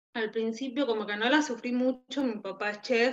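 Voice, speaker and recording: With fairly high pitch and ordinary pitch variation, a woman talks at a moderate pace. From Peru, Tacna. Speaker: emigrant interviewee. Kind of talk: interview. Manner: halting.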